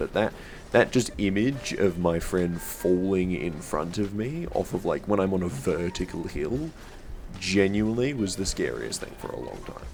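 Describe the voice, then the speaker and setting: A man with a very deep, low pitch, music in the background. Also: moderate pace. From Australia. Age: 20s. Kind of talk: casual storytime to camera.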